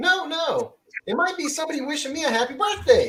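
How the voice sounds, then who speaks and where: A put-on character voice with an extremely high, squeaky pitch runs at a fairly quick pace. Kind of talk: 1940s radio comedy acting. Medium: old radio play. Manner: stammering, flustered.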